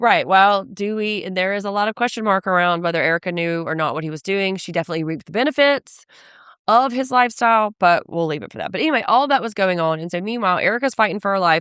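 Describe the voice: In a very clean recording with a silent background and a dry, close sound with no echo, a woman speaks fast at a medium pitch, her clear, smooth, fairly bright tone carrying lively intonation.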